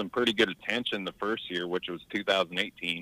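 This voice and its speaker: A man talks with a Southern US accent. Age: 30s. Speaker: amateur golfer. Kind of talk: casual interview. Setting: remote call.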